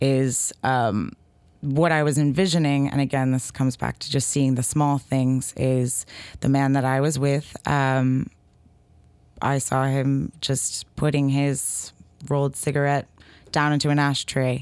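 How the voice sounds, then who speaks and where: In a very clean recording with a silent background, a woman speaks fairly slowly in a very deep, low pitch, her intonation monotone and flat. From New Hampshire, US. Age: 20s. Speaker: poet. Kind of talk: interview.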